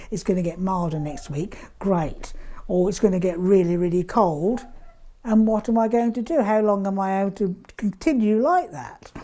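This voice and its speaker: Speaking at a moderate pace with an English accent, a woman uses lively intonation in a dark, mellow tone at a medium pitch. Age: 70s. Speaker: pensioner. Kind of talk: interview. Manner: halting.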